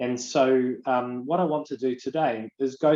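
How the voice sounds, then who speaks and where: The speaker is a man. He talks at a medium pitch. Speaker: business webinar presenter. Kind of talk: guided visualisation exercise; webinar presentation. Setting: online webinar. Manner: fast.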